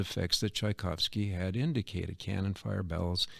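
A man with an American accent has an unremarkable speaking voice, fairly low in pitch with ordinary pitch variation. He talks at a fairly quick pace on a very clean recording with a silent background. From Canton, Ohio. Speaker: retired art museum director and arts educator. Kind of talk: interview conversation. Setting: studio, in person.

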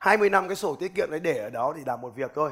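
This is a man speaking. His tone is animated. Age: 30s. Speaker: business coach and motivational speaker. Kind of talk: motivational seminar talk.

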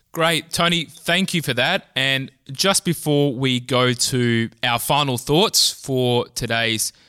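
The recording is very clean with a silent background and a dry, close sound with no echo, as a man speaks at a medium pitch in a bright, sharp tone. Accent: Australian. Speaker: think tank researcher, podcast host. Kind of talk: interview.

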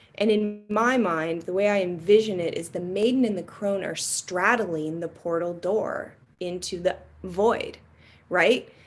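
Using an unremarkable speaking voice, a woman delivers her words fairly slowly, at a medium pitch with fairly even intonation. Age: 40s. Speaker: embodiment practitioner. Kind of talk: casual chat.

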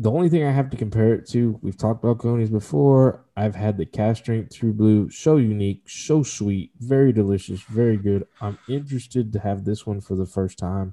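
A man with an American accent speaks in a dark, mellow tone at fairly low pitch with ordinary pitch variation. His pace is moderate with hardly any pauses, over a quiet background. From Texas. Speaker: whiskey podcast co-host. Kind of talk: casual chat.

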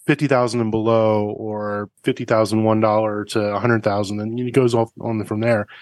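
Against a quiet background, a man with an American accent talks in a normal speaking voice at a medium pitch and moderate pace, with fairly even intonation and a dry, close sound with no echo. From US East Coast. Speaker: car podcast host and racing instructor. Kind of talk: casual interview chat.

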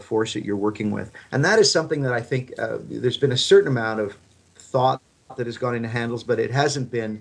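A man talks at a moderate pace in a plain, everyday voice. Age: 50s. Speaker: fitness equipment entrepreneur and former rugby player. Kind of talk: interview.

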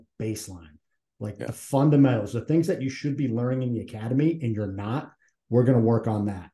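With an American accent, a man speaks at medium pitch in a dark, mellow, somewhat breathy voice with ordinary pitch variation. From Massachusetts. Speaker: retired Navy SEAL and nonprofit CEO. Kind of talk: interview conversation.

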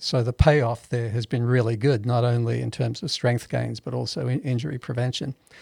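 A man speaks at a moderate pace and medium pitch, with ordinary pitch variation. His voice is somewhat breathy with a dark, mellow tone, and the sound is dry and close with no echo. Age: 70s. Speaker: powerlifter. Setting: studio.

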